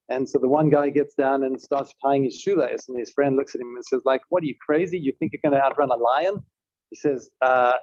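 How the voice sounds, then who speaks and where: A man with a South African accent speaks at a fairly high pitch. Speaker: tech company executive. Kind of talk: panel talk.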